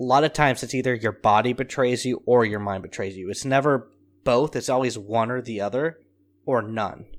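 With an unremarkable speaking voice, a man talks at a fairly quick pace in a medium pitch with ordinary pitch variation, recorded very cleanly over a silent background. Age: 30s. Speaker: podcast co-host. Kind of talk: casual chat.

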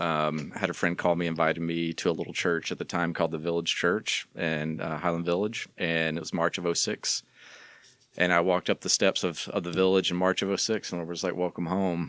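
In a Texan accent, a man talks at a fairly quick pace with a very deep, low pitch and monotone, flat intonation, on a very clean recording with a silent background and a dry, close sound with no echo. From Southeast Texas. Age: 40s. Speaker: church communications leader. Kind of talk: casual interview.

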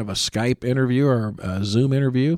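A man talks with a Midwestern American accent at a fairly quick pace. His pitch varies in an ordinary way. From Indiana (Columbus). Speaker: fire captain and podcast host. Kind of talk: solo podcast monologue. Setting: studio.

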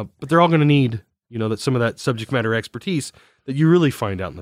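In a US Midwestern accent, a man with a medium pitch and lively intonation is heard in a very clean, dry, close recording with a silent background and no echo. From Indiana, US Midwest. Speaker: infrastructure asset management consultant. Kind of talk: podcast interview. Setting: recorded on location. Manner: hesitant, many fillers and repetitions.

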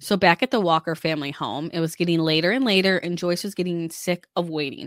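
A woman with fairly low pitch talks at a fairly quick pace in an ordinary speaking voice. The very clean recording has a silent background and a dry, close sound with no echo. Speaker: true crime podcaster. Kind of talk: true-crime narration. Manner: measured, serious storytelling; conversational, informal.

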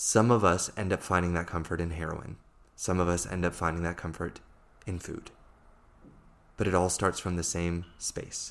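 A man with an American accent and a very deep, low pitch, at a moderate pace, in a monotone, flat delivery broken by long, frequent pauses, on a very clean recording with a silent background. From USA. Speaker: life coach. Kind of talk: solo podcast monologue.

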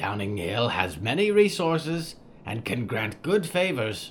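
Putting on a croaky character voice at a medium pitch, a man speaks at a fairly slow pace with very wide pitch swings over clear background noise. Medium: audio drama. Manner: broken, clipped phrasing.

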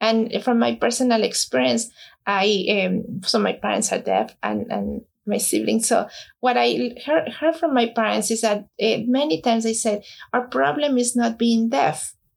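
A woman speaks at a fairly slow pace with a Spanish accent. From Mexico. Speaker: nonprofit founder. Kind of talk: interview. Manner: halting, many fillers.

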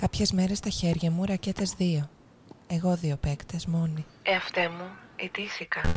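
Against music in the background, a woman talks in a fairly low, monotone voice with flat intonation. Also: fairly slow pace. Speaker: narrator of own poem. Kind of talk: spoken-word poetry, performed monologue. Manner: rhythmic, incantatory, with clipped fragmented phrasing.

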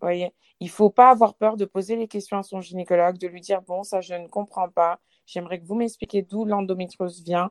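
The recording has a dry, close sound with no echo. A woman at medium pitch talks at a fairly quick pace in a monotone, flat intonation, with big swings in loudness. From Lyon, France. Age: 20s. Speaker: sales advisor and painter with endometriosis. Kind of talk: casual interview. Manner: halting.

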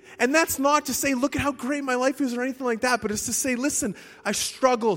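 Over music in the background, a man with an extremely high pitch speaks at a moderate pace. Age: 30s. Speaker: preacher. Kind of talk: sermon.

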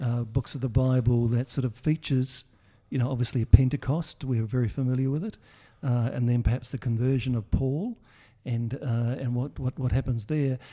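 A man with an Australian accent, a medium pitch, a somewhat breathy sound, fairly even intonation and a fairly quick pace. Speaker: podcast host. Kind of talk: interview discussion.

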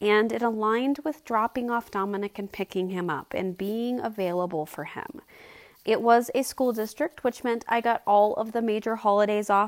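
The speaker keeps a moderate pace with fairly even intonation. The sound is dry and close with no echo, on a very clean recording with a silent background. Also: woman. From Colorado. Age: 40s. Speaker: podcast host and business consultant. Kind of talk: personal storytelling monologue.

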